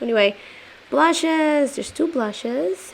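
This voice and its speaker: Over noticeable background noise, a woman with a non-native accent talks at a fairly slow pace with lively intonation. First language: not English. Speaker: beauty youtuber. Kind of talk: product review. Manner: casual.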